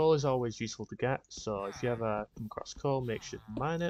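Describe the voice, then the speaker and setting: Talking at a fairly quick pace, a man speaks with ordinary pitch variation. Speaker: gaming streamer. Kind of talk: gameplay commentary. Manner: hesitant, many fillers.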